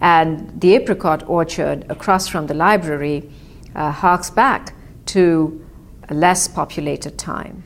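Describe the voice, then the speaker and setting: Speaking at a very slow pace, a woman with an Indian accent has a fairly low pitch and ordinary pitch variation. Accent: Indian English, described as clipped. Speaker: author. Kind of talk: personal storytelling. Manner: reflective, with frequent hesitations.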